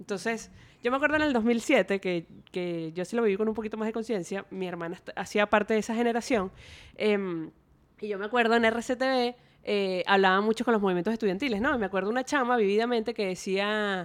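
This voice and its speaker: A woman talks at a fairly quick pace with ordinary pitch variation and a fairly high pitch. She has a plain, everyday voice. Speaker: youth researcher. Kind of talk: casual interview chat.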